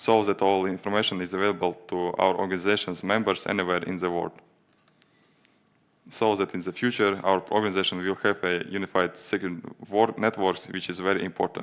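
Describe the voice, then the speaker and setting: With a non-native accent, a man talks fairly quickly in a very deep, low voice, his intonation monotone and flat. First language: Latvian or Russian. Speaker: fire safety GIS administrator. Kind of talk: conference presentation and Q&A. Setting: stage at a conference. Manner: halting, many hesitations.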